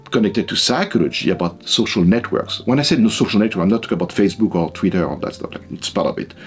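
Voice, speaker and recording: Speaking with a French accent, a man at a medium pitch uses lively intonation over noticeable background noise. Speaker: psychology professor. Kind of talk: interview. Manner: hesitant, with fillers and repetitions.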